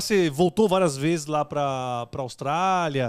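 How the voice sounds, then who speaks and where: Over a quiet background, a man speaks at a fairly slow pace and a fairly high pitch, with ordinary pitch variation. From Brazil, São Paulo east zone; Brazil. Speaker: podcast host. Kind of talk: casual chat. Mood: relaxed, jovial. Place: studio. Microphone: studio mic.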